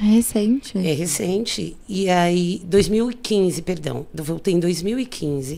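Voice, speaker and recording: This woman has a dark, mellow tone at medium pitch. Her pitch variation is ordinary. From São Paulo, Brazil (south zone, Campo Limpo). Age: 40s. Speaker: photographer. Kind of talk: casual interview chat. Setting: studio.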